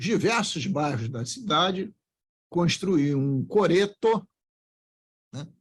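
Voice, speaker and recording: Lively intonation from a man at a high pitch, with a very slow pace and long, frequent pauses. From Brazil, Rio de Janeiro (Engenho de Dentro). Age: 70s. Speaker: politician. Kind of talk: podcast interview.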